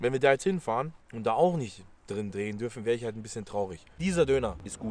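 A man rattles along at a very fast pace in a dry sound with no echo. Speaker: food vlogger. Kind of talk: casual vlog chat.

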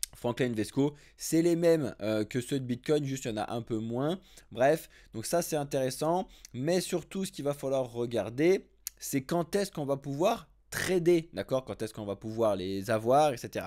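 A man talks at a fairly slow pace and a medium pitch, with lively intonation. His tone is dark and mellow, and the recording is very clean with a silent background. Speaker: crypto news video host/streamer. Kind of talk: casual news commentary, live stream. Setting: live stream to YouTube, TikTok and Twitch. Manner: informal, chatty, direct address to audience.

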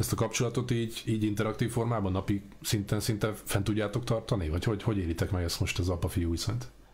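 A man speaks very fast with a somewhat breathy, fairly low voice. He barely pauses, and his loudness stays very even. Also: ordinary pitch variation. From Hungary. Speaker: interviewer. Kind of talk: interview. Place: home room.

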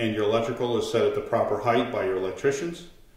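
Audible room echo surrounds this speaker. He is a man with a somewhat breathy voice. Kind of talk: tutorial. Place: kitchen.

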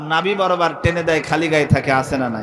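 A man's high-pitched, animated voice with ordinary pitch variation over light background noise. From Bangladesh. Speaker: Islamic preacher. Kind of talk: sermon. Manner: animated storytelling with crowd call-and-response. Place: stage. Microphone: studio mic.

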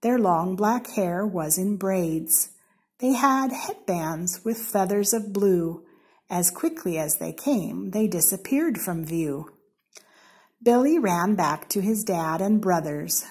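A woman with an American accent speaks at a very slow pace with lively intonation. Her voice is somewhat breathy, over a quiet background. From Seattle, Washington, USA. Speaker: story reader. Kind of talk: children's storybook reading. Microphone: phone near.

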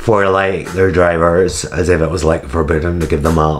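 In a put-on character voice, a man speaks raspy and very deep at a moderate pace over light background noise. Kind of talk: reading aloud with casual remarks. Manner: playful, mocking.

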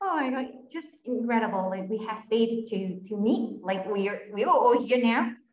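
Her pitch fairly high with ordinary variation, a woman talks at a moderate pace amid light background noise and audible room echo. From Vietnam. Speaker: webinar moderator. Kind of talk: panel interview. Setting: video call. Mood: warm, cheerful. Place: home room. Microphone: video call.

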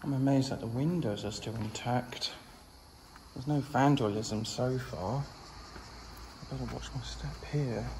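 The pace is moderate, broken by long, frequent pauses. Light background noise is present. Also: man. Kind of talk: casual vlog commentary. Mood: amazed, exclaiming. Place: empty room. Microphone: phone near.

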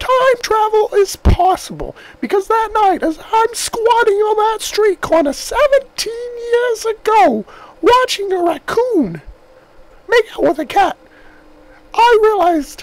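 An extremely high-pitched voice at a fairly slow pace with long, frequent pauses. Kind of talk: comic overacting. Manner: rambling, insistent, conspiratorial, repeats himself.

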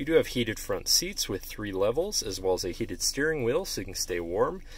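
A man talks at a fairly quick pace in a dry sound with no echo, with noticeable noise behind him. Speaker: car dealership salesperson. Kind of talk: vehicle walk-around commentary. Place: car. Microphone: phone near.

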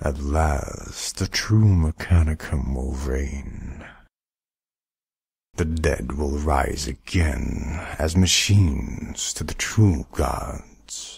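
A man's put-on character voice, very deep and low in pitch, at a very slow pace. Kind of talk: character demo.

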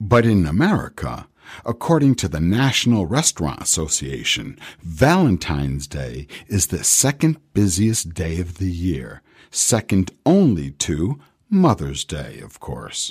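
A man speaks in a very deep, low, somewhat breathy voice with very wide pitch swings. His loudness swings a lot, and the background is quiet. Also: fairly slow pace. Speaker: radio show host and professional voice artist. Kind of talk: radio show host presenting a segment. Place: studio. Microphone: studio mic.

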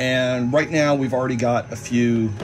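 A man at a moderate pace, monotone and flat, with noticeable background noise. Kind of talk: tutorial. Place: workshop. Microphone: phone near.

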